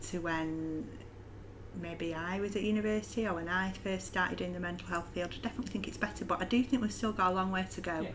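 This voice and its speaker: A woman talks at a fairly quick pace with medium pitch. She has an ordinary speaking voice. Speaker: mental health educator. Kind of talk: casual interview chat.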